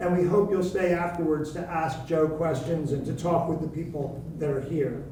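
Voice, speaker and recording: A high-pitched man at a moderate pace, his intonation fairly even, with audible room echo and noticeable background noise. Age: 60s. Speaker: event moderator. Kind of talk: event introduction.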